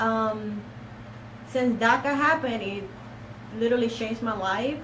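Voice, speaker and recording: Delivered at a moderate pace with ordinary pitch variation, the voice carries audible room echo and noticeable background noise. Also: woman. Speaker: paralegal. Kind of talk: casual chat. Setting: live stream.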